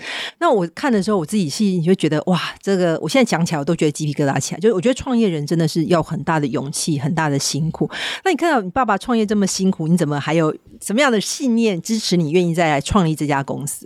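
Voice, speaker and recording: A woman with a fairly low pitch talks at a very fast pace. Her intonation is lively, with hardly any pauses. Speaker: podcast host, tech company executive. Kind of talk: interview.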